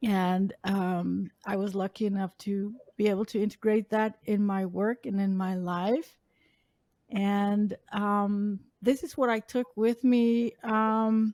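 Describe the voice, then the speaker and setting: A woman with a Dutch accent speaks very slowly at a medium pitch in a dark, mellow tone with fairly even intonation, in dry, close sound with no echo on a very clean recording with a silent background. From Netherlands. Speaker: accessibility advocate. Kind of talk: interview. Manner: halting, many fillers.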